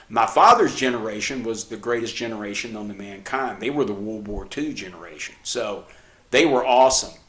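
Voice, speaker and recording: Audible room echo surrounds the recording. A man speaks at a medium pitch and moderate pace. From New Mexico. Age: 60s. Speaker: podcast co-host, father giving practical tips. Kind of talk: casual chat. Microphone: cheap camcorder, mics switched.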